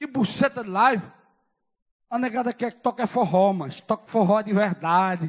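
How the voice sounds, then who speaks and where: A man's moderate-paced speech over a quiet background. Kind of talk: stage banter rant. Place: hall. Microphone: handheld.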